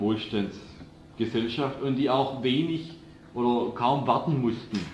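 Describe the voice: The voice moves at a fairly slow pace with a slightly mellow tone. Audible room echo surrounds it. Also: man.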